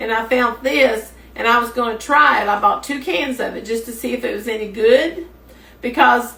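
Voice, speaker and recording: A woman with a Kentucky accent, fairly high in pitch, at a moderate pace, with audible room echo. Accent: Southern US (Kentucky). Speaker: home cook. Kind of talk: cooking tutorial. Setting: home kitchen. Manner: some trouble talking after stroke.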